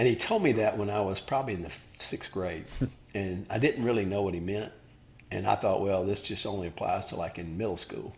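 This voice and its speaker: A man with a Southern US accent talks at a fairly quick pace in a fairly low pitch, sounding somewhat breathy. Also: ordinary pitch variation. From Alabama. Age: 60s. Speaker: former college basketball player and father of athletes. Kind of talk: interview.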